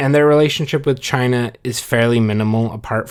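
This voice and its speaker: This man has a Californian accent and keeps a moderate pace. The recording is very clean, with a silent background. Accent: California. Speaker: history podcast co-host. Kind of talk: casual history podcast explanation.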